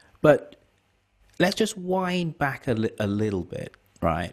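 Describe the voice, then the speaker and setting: A British accent at a fairly slow pace. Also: man. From Britain. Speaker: podcast host. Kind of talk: interview.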